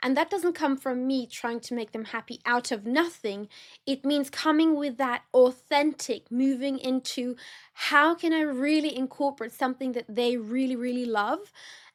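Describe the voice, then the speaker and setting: Speaking at a moderate pace in an animated tone with ordinary pitch variation, the voice comes through in a very clean recording with a silent background. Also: woman, high pitch for a woman. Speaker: wedding planner and podcast host. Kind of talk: solo podcast talk.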